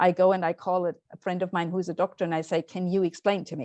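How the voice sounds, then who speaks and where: A woman with a German accent talks at a fairly quick pace in a fairly low pitch with monotone, flat intonation, in a dry, close sound with no echo over a quiet background. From Austria. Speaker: parents' association representative, webinar speaker. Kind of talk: webinar Q&A answer.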